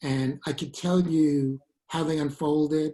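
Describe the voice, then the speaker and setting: With a strong Brooklyn accent, a man speaks at a fairly high pitch in a dark, mellow, somewhat breathy tone. His intonation stays fairly even. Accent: thick Brooklyn. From Brooklyn, New York. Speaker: Shakespeare professor and author. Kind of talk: interview. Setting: video call.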